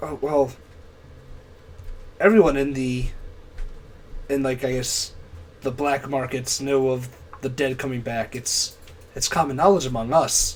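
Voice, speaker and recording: Using a put-on character voice, a raspy man of medium pitch speaks at a moderate pace with fairly even intonation and long, frequent pauses, against clear background noise. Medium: actual play. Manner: casual, eager to please.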